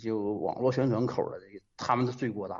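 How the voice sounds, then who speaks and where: This is a man speaking. His pitch is medium. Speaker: radio caller. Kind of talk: phone-in commentary. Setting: phone call. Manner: hesitant, frequent fillers.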